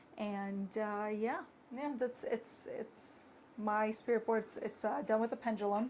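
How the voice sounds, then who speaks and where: A quiet woman's voice at a fairly high pitch and a fairly slow pace. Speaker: spirit board maker. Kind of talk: casual live stream product demo. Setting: live stream. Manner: quiet, cannot raise voice; hesitant, many fillers.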